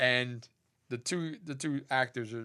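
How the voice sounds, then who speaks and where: A man has an ordinary speaking voice with an American accent, a medium pitch and ordinary pitch variation. The recording is very clean, with a silent background. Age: 50s. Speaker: podcast co-host. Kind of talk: casual chat. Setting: studio, streamed live on Facebook.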